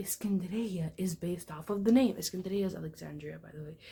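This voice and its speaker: A woman speaks at a moderate pace with ordinary pitch variation. Her tone is dark and mellow, and somewhat breathy. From Egyptian family, Arabic-speaking background. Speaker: book vlogger. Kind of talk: casual vlog talk about a book. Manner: casual, filler-heavy.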